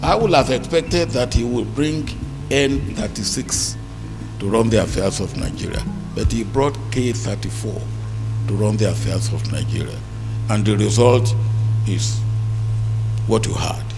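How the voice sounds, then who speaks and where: A man talks with long, frequent pauses. Music plays in the background. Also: fairly slow pace. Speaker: keynote lecturer. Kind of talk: public lecture speech. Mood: wry, critical. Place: hall. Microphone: handheld.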